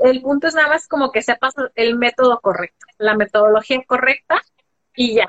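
Speaking at a moderate pace with high pitch, a woman keeps her loudness very even and her pitch variation ordinary. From Mexico, Guadalajara, Jalisco. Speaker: personal finance and personal development coach. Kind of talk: interview on a live stream. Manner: hesitant, many fillers.

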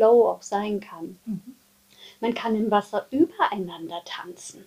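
Ordinary pitch variation in a plain, everyday voice, delivered at a fairly slow pace. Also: woman. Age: 40s. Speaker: dance and movement therapist. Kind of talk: casual chat.

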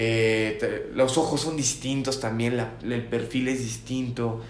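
With a Mexican accent, a man of medium pitch speaks at a very slow pace and with fairly even intonation, amid noticeable background noise and audible room echo. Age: 20s. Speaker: podcast co-host. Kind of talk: casual chat. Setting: at home.

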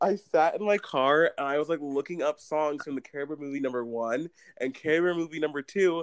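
A man with a plain, everyday voice, fairly high in pitch, talks at a fairly quick pace with ordinary pitch variation in a dry, close sound with no echo. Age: young. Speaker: youth theater director. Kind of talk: casual chat.

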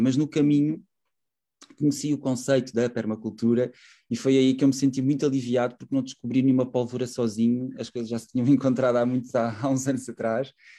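This man talks at a fairly quick pace with a medium pitch, a dark, mellow tone and fairly even intonation. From Portugal, Setúbal. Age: 30s. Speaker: urban gardening project founder. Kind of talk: radio interview. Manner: halting, many fillers.

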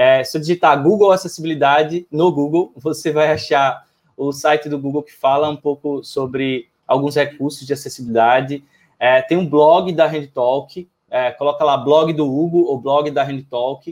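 A man speaks at a moderate pace in an unremarkable speaking voice. His pitch is fairly high, and his intonation stays fairly even. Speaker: accessibility tech entrepreneur. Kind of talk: panel discussion.

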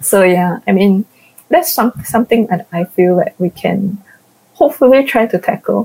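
A woman speaks in a normal speaking voice with lively intonation. The sound is dry and close with no echo. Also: medium pitch for a woman, moderate pace. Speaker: podcast host. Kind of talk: casual chat. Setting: online recording call.

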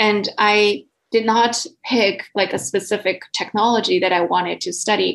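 Speaking at a moderate pace, a woman uses a medium pitch with ordinary pitch variation and vocal fry. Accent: Chinese. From southern China. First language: Mandarin Chinese. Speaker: PhD researcher. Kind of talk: podcast interview. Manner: halting.

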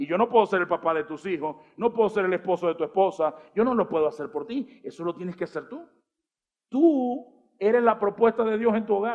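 A man with a high voice talks at a fairly quick clip, his intonation lively. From Venezuela. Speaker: pastor. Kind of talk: sermon. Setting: church stage with audience.

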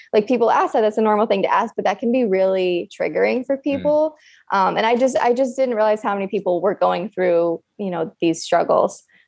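A plain, everyday voice with an American accent talks fairly quickly with hardly any pauses. The intonation is lively and the background quiet. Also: woman, fairly high pitch for a woman. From upstate New York. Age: 20s. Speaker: fertility nurse. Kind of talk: casual chat.

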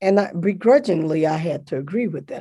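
In a quiet background, a woman's dark, mellow voice carries ordinary pitch variation. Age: 60s. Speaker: theology professor and seminary dean. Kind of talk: interview. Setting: video call.

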